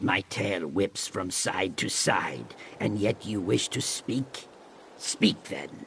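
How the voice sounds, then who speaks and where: Against clear background noise, a man uses a put-on character voice at a fairly low pitch, very slow and with lively intonation. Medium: video game. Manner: blunt, solemn.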